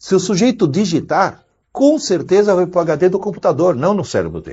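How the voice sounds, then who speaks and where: With lively intonation, a man talks at a high pitch and a moderate pace. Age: 60s. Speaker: educator, university professor. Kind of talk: interview.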